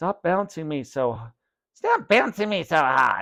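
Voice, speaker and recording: In a put-on character voice, the speaker sounds raspy, moving at a fairly slow pace with very wide pitch swings. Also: man. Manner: irritated, threatening.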